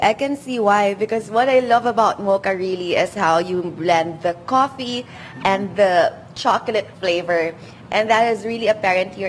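A woman talks at a middling tempo, her pitch varying normally, with faint noise in the background. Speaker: field reporter. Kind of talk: live news feature interview. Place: cafe. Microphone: handheld.

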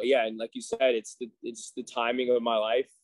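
A man talks at a moderate pace. The sound is dry with no echo, and the background is quiet. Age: 30s. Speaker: gym owner; guest. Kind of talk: casual chat. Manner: halting. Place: gym. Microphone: video call.

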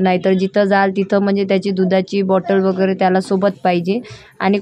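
A woman is speaking. Her pitch is medium. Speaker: family vlogger. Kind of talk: vlog narration.

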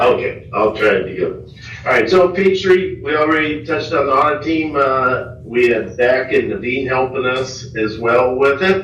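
The speech comes at a fairly slow pace. Noticeable background noise and audible room echo fill the recording. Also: man. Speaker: auditor presenting audit results. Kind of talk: presentation to city council. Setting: city council meeting room. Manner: animated.

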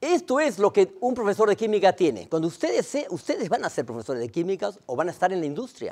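Against a quiet background, a man talks at a fairly quick pace in a high pitch with very wide pitch swings. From Latin America. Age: 60s. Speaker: chemistry professor. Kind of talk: lecture. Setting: lecture hall with audience. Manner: fast; halting, many repetitions. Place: hall. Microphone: lapel.

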